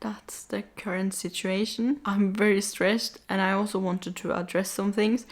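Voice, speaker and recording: At a moderate pace, a woman with a non-native accent speaks at a medium pitch with fairly even intonation. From Norway. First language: not English. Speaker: vlogger. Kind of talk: casual vlog talk to camera.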